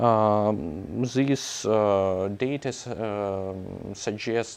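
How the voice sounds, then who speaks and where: Fairly even intonation in a Russian accent. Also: man, quiet background. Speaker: scientist. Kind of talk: conference talk. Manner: halting, many fillers.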